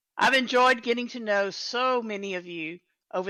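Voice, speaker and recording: A woman speaks with a Texan accent and ordinary pitch variation. The recording is very clean, with a silent background. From Texas. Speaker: event host and volunteer organizer. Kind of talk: live-streamed event announcements. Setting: live stream in a virtual world event.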